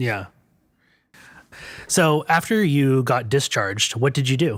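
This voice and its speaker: A man with an ordinary speaking voice talks fairly slowly at medium pitch, with lively intonation. The recording is very clean, with a silent background. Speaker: interviewer. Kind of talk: interview questions.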